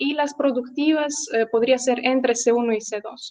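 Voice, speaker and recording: The speech moves at a moderate pace with fairly even intonation, in a Russian accent. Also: woman. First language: Russian (speaking Spanish). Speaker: language teacher. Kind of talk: interview. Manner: hesitant, with many fillers.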